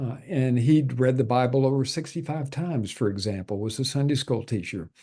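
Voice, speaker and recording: Against a quiet background, a man speaks at a moderate pace in a medium pitch with a dark, mellow tone and a somewhat breathy quality. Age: 70s. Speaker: natural health doctor and healer. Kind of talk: interview. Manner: hesitant, many fillers.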